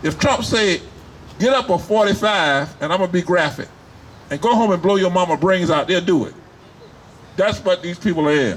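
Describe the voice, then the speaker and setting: A man's high voice at a moderate pace, with ordinary pitch variation and long, frequent pauses. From US South, Wilmington, North Carolina. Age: 70s. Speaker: rally speaker, military veteran. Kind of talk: rally speech. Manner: animated.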